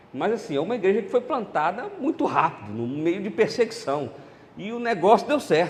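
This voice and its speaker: A man at a fairly quick pace, with very wide pitch swings over noticeable background noise. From central Brazil (Goiás, Brasília, Belo Horizonte). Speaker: pastor. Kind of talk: sermon. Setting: church conference.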